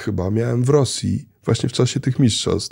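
A man speaks at a moderate pace. His tone is dark, mellow and somewhat breathy. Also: quiet background. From Poland, childhood partly in Kenya. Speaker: traveller and real estate investor; guest. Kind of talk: casual interview. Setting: studio. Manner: halting, many fillers. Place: studio. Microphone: studio mic.

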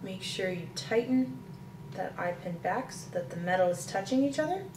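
A woman talks at a moderate pace, her loudness swinging widely. Noticeable background noise runs behind her. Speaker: presenter. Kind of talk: tutorial. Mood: calm, gentle. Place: kitchen.

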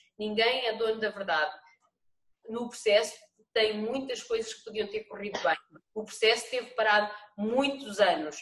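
A woman with a fairly high voice speaks at a moderate pace, with ordinary pitch variation, big swings in loudness and long, frequent pauses. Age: 40s. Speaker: municipal vice-mayor. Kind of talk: council meeting debate. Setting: video call. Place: home room. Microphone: video call.

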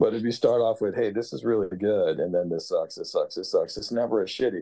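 There is a quiet background. A man with an American accent speaks at a moderate pace. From New York. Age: 50s. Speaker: record producer and mixing engineer; guest. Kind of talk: casual interview and student Q&A. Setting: video call from home. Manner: casual, swears freely. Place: home room. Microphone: video call.

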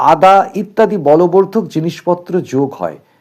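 The text is read out plainly. Its pitch shifts in ordinary fashion.

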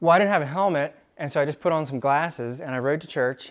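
A man at a very fast pace with ordinary pitch variation, over a quiet background. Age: 30s. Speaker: company founder and president. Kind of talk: motivational talk at staff meeting. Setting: company meeting room with staff. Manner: casual, with filler words. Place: meeting room.

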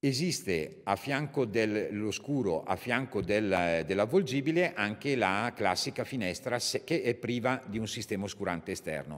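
A man's ordinary speaking voice at a medium pitch and moderate pace, with lively intonation and a quiet background. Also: hardly any pauses. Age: 50s. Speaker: company representative; presenter, speaker. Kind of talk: technical product presentation. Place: hall. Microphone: podium.

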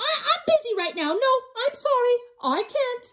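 A woman uses a put-on character voice with an extremely high pitch and big pitch swings. Her tone is fairly bright, and her pace is moderate.

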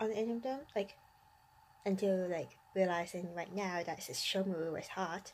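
A woman speaks quietly at a fairly slow pace. Her pitch sits at a medium level with ordinary variation. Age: adult. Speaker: anime YouTuber. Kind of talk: casual vlog monologue. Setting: bedroom at night. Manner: quiet, subdued; hesitant, many fillers.

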